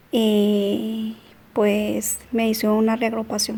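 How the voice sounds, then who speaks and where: Her voice somewhat breathy, a woman speaks with a dark, mellow tone at a fairly high pitch. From Colombia. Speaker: migrant mother. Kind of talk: interview.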